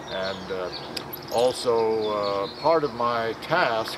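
Against noticeable background noise, a man talks at a medium pitch with ordinary pitch variation. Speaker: city council member. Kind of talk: interview. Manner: halting. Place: open country.

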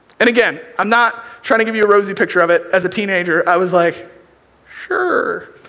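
At a fairly quick pace, a man with a high pitch uses a raised, projected voice. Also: ordinary pitch variation. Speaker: youth pastor. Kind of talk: sermon. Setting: church. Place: church. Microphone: headset.

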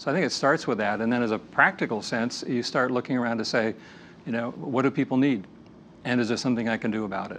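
Very fast speech from a man at a medium pitch, with ordinary pitch variation and light background noise. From US, moved among several states. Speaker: lecturer on leadership. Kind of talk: lecture. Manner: measured, with filler hesitations. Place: studio. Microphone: lapel.

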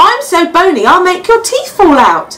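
Pitched extremely high, a put-on character voice moves along at a moderate pace. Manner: crying out, pleading.

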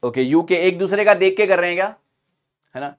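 Pitched high, a man's voice comes through. Behind him, the background stays quiet. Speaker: online exam teacher. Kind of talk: lecture. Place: studio. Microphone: lapel.

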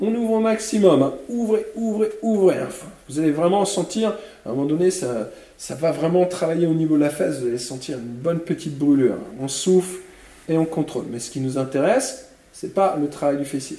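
Fairly quick speech with audible room echo. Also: man, high pitch for a man. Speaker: fitness instructor. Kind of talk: exercise class instruction. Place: gym.

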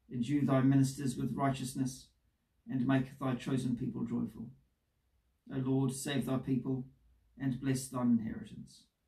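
A man speaks at a moderate pace in a dark, mellow tone with vocal fry and monotone, flat intonation, leaving long, frequent pauses. The background is quiet, though audible room echo comes through. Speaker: priest leading worship. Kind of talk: liturgical prayer and scripture reading. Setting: church service recorded for video. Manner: formal, measured, solemn. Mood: calm, solemn. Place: home room.

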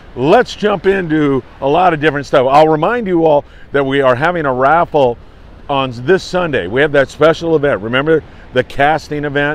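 A man's voice at a moderate pace, with ordinary pitch variation and a dry sound with no echo. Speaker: fishing report host. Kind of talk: casual morning news briefing to camera. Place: beach. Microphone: phone near.

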